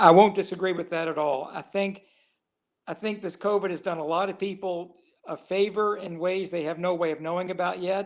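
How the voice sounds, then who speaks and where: Speaking at a fairly quick pace, a man with a high voice for a man keeps a monotone, flat intonation. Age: 60s. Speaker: comedian. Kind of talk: casual chat.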